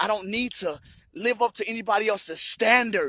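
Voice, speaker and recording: A high-pitched man talks at a fairly quick pace in a raised, projected voice. His tone is animated. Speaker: vlogger sharing personal recovery story. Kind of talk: personal monologue.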